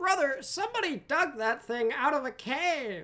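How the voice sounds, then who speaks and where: A high-pitched put-on character voice at a moderate pace. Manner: exaggerated, playful.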